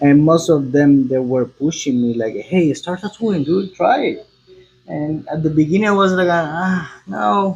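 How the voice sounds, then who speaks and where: In a Spanish accent, the speaker talks at a fairly slow pace with lively intonation. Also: man, fairly high pitch for a man. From Cuba. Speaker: tattoo artist. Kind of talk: casual chat. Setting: tattoo studio. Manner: halting.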